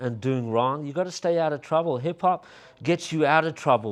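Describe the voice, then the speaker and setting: A man with an Australian accent talks at a moderate pace with ordinary pitch variation. The background is quiet. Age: 50s. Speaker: hip hop artist and club promoter. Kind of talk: casual interview.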